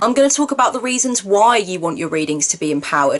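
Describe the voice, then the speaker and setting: A woman rattles along at a very fast pace while noticeable noise fills the background. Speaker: tarot reader and spiritual counselor. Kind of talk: course introduction video. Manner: verbose, wordy delivery.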